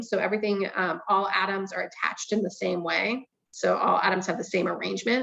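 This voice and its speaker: A woman speaks at a moderate pace in an ordinary speaking voice, her intonation fairly even. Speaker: chemistry professor. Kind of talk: lecture. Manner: casual, filler-heavy.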